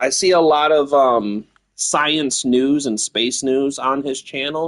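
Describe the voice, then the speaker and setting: A very slow pace with fairly even intonation. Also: man, fairly high pitch for a man. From US Midwest, Battle Creek, Michigan. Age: 30s. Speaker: video game streamer. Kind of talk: casual chat.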